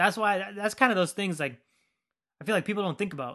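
A man with a bright, sharp tone talks at a very fast pace over a quiet background. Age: 20s. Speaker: podcast host. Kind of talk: casual monologue. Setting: home basement.

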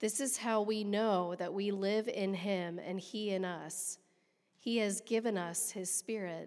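Fairly slow and with fairly even intonation, a woman speaks at a medium pitch in an ordinary speaking voice. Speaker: scripture reader. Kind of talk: reading aloud. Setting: church.

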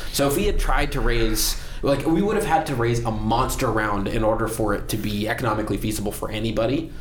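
A man talking at a very fast pace with hardly any pauses, against noticeable background noise. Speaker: tech entrepreneur. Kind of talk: casual chat. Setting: studio.

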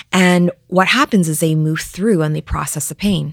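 With a Canadian accent, a woman talks in an unremarkable speaking voice at a fairly low pitch with fairly even intonation, in a dry, close sound with no echo. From Vancouver, Canada. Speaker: relationship expert and author. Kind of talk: interview.

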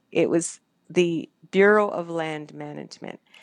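A woman speaks with a Canadian accent in a fairly low pitch and fairly even intonation, an unremarkable speaking voice. The background is quiet. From Canada. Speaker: former radio broadcaster, photographer and animal advocate. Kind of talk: interview.

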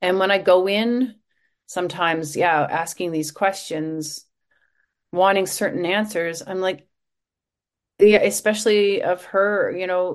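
A woman with a plain, everyday voice, medium pitch, fairly even intonation and a fairly slow pace. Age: 50s. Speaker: podcast host, journalist and author. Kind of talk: casual interview chat.

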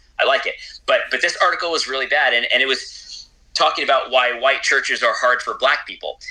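Noticeable background noise fills the recording. A man talks at a fairly quick pace over it. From Puerto Rican heritage. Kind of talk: interview conversation. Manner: repetitive halting starts.

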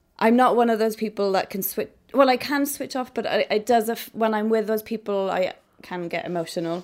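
On a very clean recording with a silent background, a woman with a Welsh accent and a fairly high voice talks at a fairly quick pace with ordinary pitch variation. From Wales. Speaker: photographer. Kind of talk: interview.

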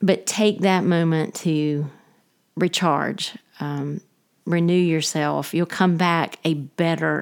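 The recording is very clean, with a silent background. A woman with a very deep, low pitch and a Southern US accent speaks with fairly even intonation. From US South, Georgia. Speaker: pastor's wife and former teacher. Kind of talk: casual interview.

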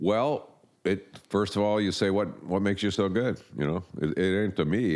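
A man's voice with vocal fry. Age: 60s. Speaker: marketing consultant. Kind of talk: interview.

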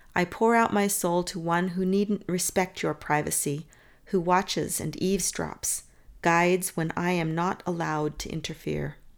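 A woman speaks in a normal speaking voice. Her pitch is fairly low and her intonation fairly even. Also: very clean recording, silent background. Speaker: poet and podcast host. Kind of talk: poetry reading, spoken word, with scripture commentary. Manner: slow, reverent, measured, intimate.

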